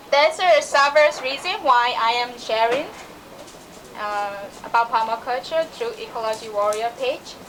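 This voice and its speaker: A woman's high-pitched voice in a Burmese accent, moderate pace and ordinary pitch variation, with audible room echo and noticeable background noise. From Myanmar. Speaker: permaculture practitioner. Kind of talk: conference talk. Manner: halting.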